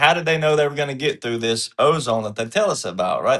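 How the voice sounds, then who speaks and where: A man in a Southern US accent speaks in a bright, sharp tone with ordinary pitch variation. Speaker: panelist on a political commentary show. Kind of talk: panel discussion. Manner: casual folksy storytelling.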